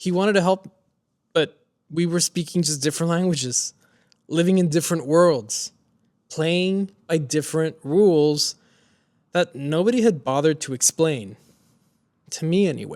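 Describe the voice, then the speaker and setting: Someone with a Spanish accent speaks at a moderate pace, with ordinary pitch variation and long, frequent pauses. The recording is very clean with a silent background and a dry, close sound with no echo. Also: man, fairly high pitch for a man. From Mexico, raised in South Texas. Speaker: motivational speaker. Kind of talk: personal story talk.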